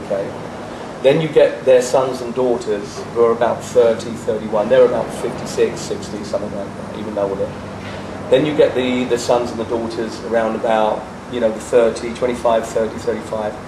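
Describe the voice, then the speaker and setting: With audible room echo and noticeable background noise, a man speaks fairly quickly at a medium pitch in a monotone, flat intonation. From England. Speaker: rock musician. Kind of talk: interview. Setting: on location in a jacuzzi.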